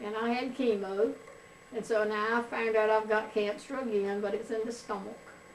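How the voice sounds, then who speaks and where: A woman with a North Carolina accent speaks at a fairly high pitch in monotone, flat intonation. Noticeable background noise and audible room echo fill the recording. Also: moderate pace. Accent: Southern US (North Carolina). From US South, North Carolina. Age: 70s. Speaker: grandmother being interviewed. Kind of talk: family oral history interview.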